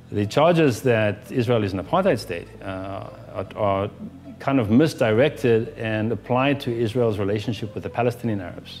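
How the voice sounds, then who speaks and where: A man talks at a moderate pace in a medium pitch with ordinary pitch variation, over noticeable background noise. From South Africa. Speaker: journalist and tour guide. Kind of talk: opinion commentary to camera. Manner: halting, many fillers and restarts.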